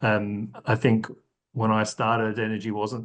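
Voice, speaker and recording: A man with a slight Australian accent speaks at a medium pitch. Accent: slight Australian twang. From Australia, rural Victoria. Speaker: sustainability consulting executive. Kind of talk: podcast interview. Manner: hesitant with fillers.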